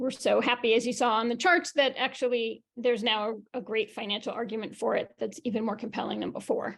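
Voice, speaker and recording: A woman with an American accent speaks at a fairly high pitch and a fairly quick pace. She has ordinary pitch variation and hardly any pauses. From New York. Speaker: education sustainability company founder. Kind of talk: presentation on video call. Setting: video call. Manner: fast.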